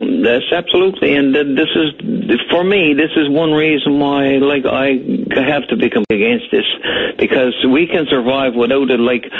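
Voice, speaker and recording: A man with a Newfoundland accent speaks at a moderate pace in a fairly high voice, his intonation lively and his loudness very even, over noticeable background noise. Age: 60s. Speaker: caller. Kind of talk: radio call-in talk.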